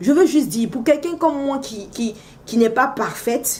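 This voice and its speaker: Amid noticeable background noise, a woman with an animated tone talks at a moderate pace in a high pitch with very wide pitch swings. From Africa. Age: 30s. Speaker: vlogger, mother. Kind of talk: casual vlog monologue. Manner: animated, exclamatory; loud when excited.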